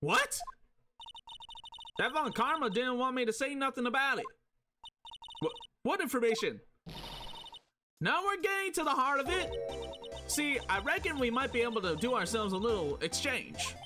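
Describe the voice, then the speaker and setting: A put-on character voice, high-pitched and drawling, at a moderate pace with long, frequent pauses and music in the background. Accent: Southern US. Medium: virtual streamer. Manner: drawling, folksy.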